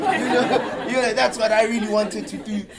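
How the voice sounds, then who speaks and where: A high-pitched man at a fairly quick pace, audible room echo, crowd noise behind him. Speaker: advertising copywriter. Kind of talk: talk to an audience. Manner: halting, repeats words.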